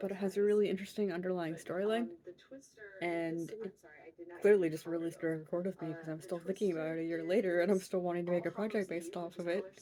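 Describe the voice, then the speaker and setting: A woman talks at a very fast pace in a fairly low pitch with fairly even intonation. Noticeable background noise runs beneath her. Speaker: crochet podcaster. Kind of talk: casual chat.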